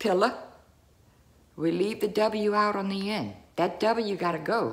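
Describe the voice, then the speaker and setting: A woman with an American accent talks at a very slow pace. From US South. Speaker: video creator. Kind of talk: casual vlog. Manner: animated. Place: home room. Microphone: phone near.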